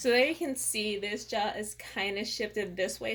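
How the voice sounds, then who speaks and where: This woman's voice sits at a medium pitch with ordinary pitch variation. Vocal fry runs through her speech. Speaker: beauty and lifestyle vlogger. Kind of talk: casual vlog talk to camera. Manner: casual, with fillers.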